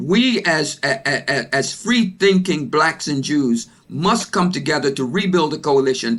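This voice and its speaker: A man with a fairly high pitch and lively intonation. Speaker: panelist, business executive. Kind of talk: panel discussion. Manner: loud; fast.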